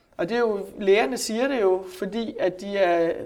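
Using a plain, everyday voice, a woman speaks at a medium pitch with ordinary pitch variation. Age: 40s. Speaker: journalist and psychotherapist. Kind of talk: interview. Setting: office.

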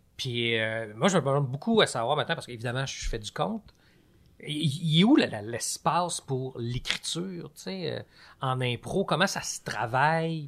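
A man with an ordinary speaking voice, fairly high pitch, lively intonation and a fairly slow pace, in a very clean recording with a silent background. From Quebec, Laurentides. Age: 40s. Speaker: storyteller. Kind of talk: casual chat.

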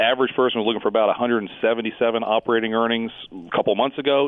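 A man speaks with a plain, everyday voice at medium pitch. His pace is moderate. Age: 40s. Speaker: market strategist. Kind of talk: interview conversation.

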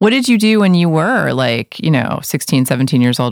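Speaking with an American accent, a woman uses a very deep, low pitch and very wide pitch swings at a fairly quick pace, in a dry, close sound with no echo. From New York City. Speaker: podcast host, record label president. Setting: studio.

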